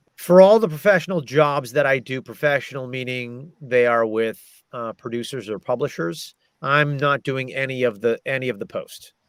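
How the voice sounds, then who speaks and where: A man with an American accent and an unremarkable speaking voice talks at a moderate pace and medium pitch, with ordinary pitch variation. The sound is dry and close, with no echo. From American, Massachusetts. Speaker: audiobook narrator and voice actor. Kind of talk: casual interview answer about audiobook industry.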